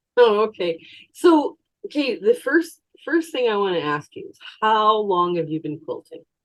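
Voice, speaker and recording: A woman with a Canadian accent at a fairly high pitch and a moderate pace, very wide pitch swings, big swings in loudness. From Canada. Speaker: quilting YouTuber. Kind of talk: interview.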